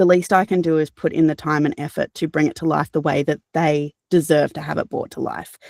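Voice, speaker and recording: In an Australian accent, a woman speaks fairly quickly with a very deep, low pitch, vocal fry and monotone, flat intonation, in a dry, close sound with no echo on a very clean recording with a silent background. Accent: cultivated Australian. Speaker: audiobook narrator. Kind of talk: interview answer. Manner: casual, conversational.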